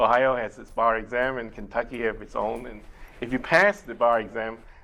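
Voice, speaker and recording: A man speaks at a fairly quick pace with a Chinese accent, his medium-pitched voice bright and sharp in tone, with ordinary pitch variation and big swings in loudness. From Taiwan and Malaysia. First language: Mandarin Chinese. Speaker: immigration lawyer. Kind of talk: interview. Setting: TV studio. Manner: halting.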